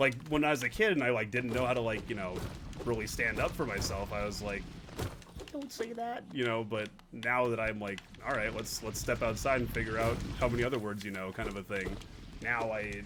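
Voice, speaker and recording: Over noticeable background noise and audible room echo, a man with a medium pitch speaks at a fairly quick pace in an animated tone, leaving long, frequent pauses. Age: 30s. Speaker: gaming streamer. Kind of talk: casual chat.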